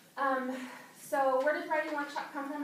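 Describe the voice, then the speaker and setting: The voice belongs to a woman. The room echo is audible. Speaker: second grade teacher. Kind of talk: workshop presentation. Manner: fast.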